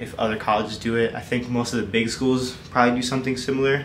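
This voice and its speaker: A man talking at a very fast pace over light background noise. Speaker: college athlete vlogger. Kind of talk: casual vlog chat answering questions. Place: home room. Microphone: phone near.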